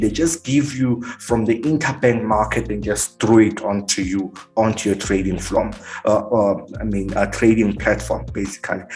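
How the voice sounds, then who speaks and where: A fairly low-pitched man at a moderate pace, ordinary pitch variation, music in the background. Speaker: forex trading teacher. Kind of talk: tutorial.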